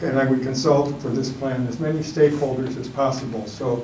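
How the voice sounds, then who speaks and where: Amid noticeable background noise and audible room echo, a man speaks at a moderate pace in a medium-pitched voice with monotone, flat intonation. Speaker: panelist at a church forum. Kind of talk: panel talk. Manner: mumbling.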